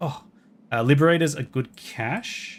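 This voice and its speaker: This voice belongs to a man. His words come with an Australian accent. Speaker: video game streamer. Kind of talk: live gameplay stream commentary. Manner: casual, chatty.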